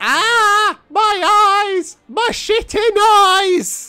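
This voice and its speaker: Pitched extremely high, this put-on character voice performs an Irish accent. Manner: screaming in pain.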